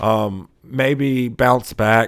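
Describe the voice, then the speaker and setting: This man's voice comes through on a very clean recording with a silent background. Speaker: sports podcast host. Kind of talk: casual sports podcast talk. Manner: halting, stumbles over words; many filler words.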